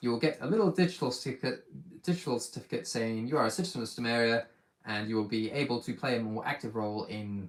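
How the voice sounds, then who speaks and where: In a British accent, a man talks very fast at a medium pitch with ordinary pitch variation. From Britain. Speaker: micronation leader and channel host. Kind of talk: live stream Q&A. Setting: YouTube live stream.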